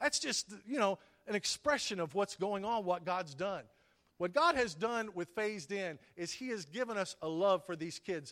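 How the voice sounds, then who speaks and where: The pace is moderate. The intonation is lively. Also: man. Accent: Texan. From Texas (Whitney, then Pampa in the Panhandle). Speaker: pastor. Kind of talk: sermon. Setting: church.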